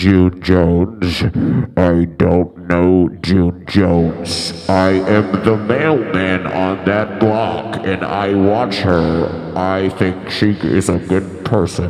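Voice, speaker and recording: A man puts on a character voice with a very deep, low pitch at a very slow pace. There is a slight echo and clear background noise. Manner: ominous.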